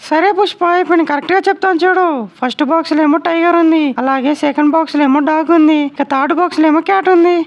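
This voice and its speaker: A female-sounding cartoonish character voice chatters at a fairly quick pace with an extremely high pitch. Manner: eager, sweet.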